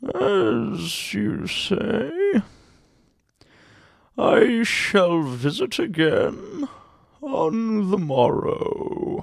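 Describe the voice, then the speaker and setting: A man does a put-on character voice pitched high. He talks at a very slow pace, with long, frequent pauses. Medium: read story. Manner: soft, obsequious.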